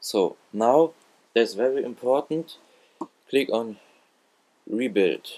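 Pausing long and often, a man talks at a very slow pace in a medium pitch with ordinary pitch variation. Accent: non-native. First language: not English. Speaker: gaming tutorial YouTuber. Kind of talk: tutorial. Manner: halting.

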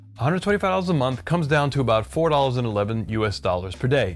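Faint music plays in the background as a man talks at a fairly slow pace. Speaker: cooking channel host. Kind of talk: product review commentary. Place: kitchen.

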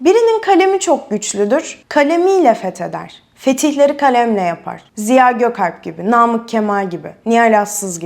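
Speaking at a moderate pace with hardly any pauses, a woman uses a fairly high pitch and very wide pitch swings. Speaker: video presenter. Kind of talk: scripted monologue. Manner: emphatic.

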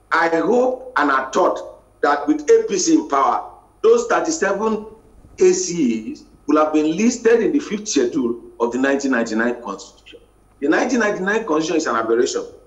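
A man at a moderate pace, with audible room echo. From Nigeria. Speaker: journalism lecturer. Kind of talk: news review panel discussion. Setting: TV studio. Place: home room. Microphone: video call.

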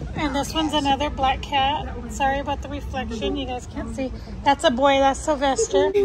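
Against clear background noise, a woman talks at a moderate pace with high pitch and ordinary pitch variation.

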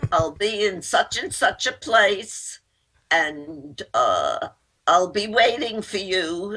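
Speaking very slowly, a woman uses a medium pitch with very wide swings. Her tone is bright and sharp. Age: 80s+. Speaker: philanthropist, company founder. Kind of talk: interview answer, storytelling. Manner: funny, lively.

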